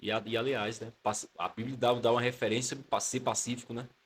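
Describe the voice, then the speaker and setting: In a Pernambuco accent, a man speaks at a fairly quick pace. His voice is somewhat breathy. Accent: Northeastern Brazilian (Pernambuco). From Pernambuco, Brazilian Northeast (Caruaru). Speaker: theology student and pastor. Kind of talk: casual interview chat.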